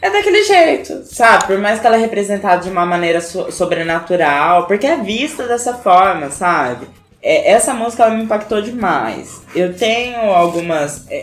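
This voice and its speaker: Music plays behind a woman of medium pitch who talks at a moderate pace with hardly any pauses, and the room echo is audible. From Brazil, Paraná (Arapongas). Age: 20s. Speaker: makeup artist. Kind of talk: casual interview chat. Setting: at home, drinking beer.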